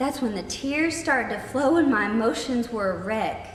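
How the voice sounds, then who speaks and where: Music plays in the background as a woman speaks in a high voice. Her pace is fairly slow and her intonation lively. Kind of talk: spoken word poetry.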